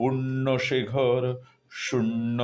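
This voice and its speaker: A man's voice over music in the background. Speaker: poetry reciter. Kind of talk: poetry reading. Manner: deeply emotional.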